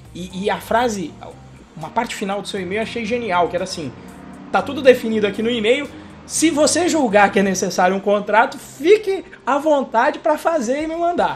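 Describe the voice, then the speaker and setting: A man's extremely high-pitched voice at a moderate pace, with lively intonation, big swings in loudness and noticeable background noise. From Brazil. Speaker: podcast host, computer engineer. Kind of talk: casual chat.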